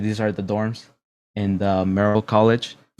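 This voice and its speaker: Fairly low-pitched male speech, very cleanly recorded against total silence. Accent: Southern California. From Mexico, then Los Angeles area from about age nine. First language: Spanish. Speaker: university student and gamer. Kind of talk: presentation to students. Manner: casual.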